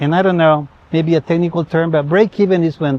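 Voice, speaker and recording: Noticeable background noise sits under a dry, close sound with no echo. A man with a slight Spanish accent speaks at a high pitch with ordinary pitch variation. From Spanish-speaking country. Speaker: school benefactor. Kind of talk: interview.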